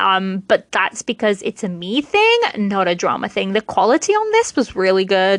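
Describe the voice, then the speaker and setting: In a British accent, a woman speaks at a fairly slow pace with a medium pitch and ordinary pitch variation, the sound dry and close with no echo. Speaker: podcast host. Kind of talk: casual solo podcast chat.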